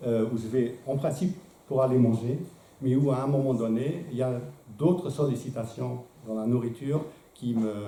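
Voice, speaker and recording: With a non-native accent, a man of medium pitch speaks at a moderate pace with ordinary pitch variation and long, frequent pauses, amid audible room echo and noticeable background noise. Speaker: philosopher giving a talk. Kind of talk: lecture. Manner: hesitant, many filler sounds.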